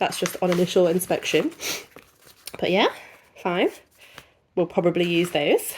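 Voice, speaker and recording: Speaking with an English accent, a woman uses a fairly low pitch and fairly even intonation at a moderate pace, with long, frequent pauses. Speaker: unboxing youtuber. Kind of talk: casual product review.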